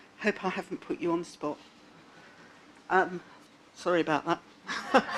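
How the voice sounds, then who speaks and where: A woman speaks at a fairly slow pace with a fairly low pitch and ordinary pitch variation. Noticeable background noise runs beneath her voice. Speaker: patient advocate speaker. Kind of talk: conference talk. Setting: stage with audience. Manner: loud.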